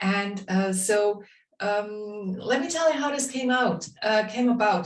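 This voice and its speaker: A woman amid audible room echo and noticeable background noise. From Bavaria, Germany. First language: German (Bavarian dialect). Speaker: drawing instructor. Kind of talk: online workshop instruction. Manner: hesitant, many fillers.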